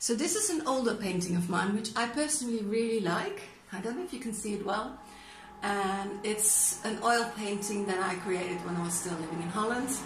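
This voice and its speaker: A woman at a moderate pace with ordinary pitch variation, noticeable background noise behind her. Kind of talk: casual vlog chat. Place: home room. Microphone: phone near.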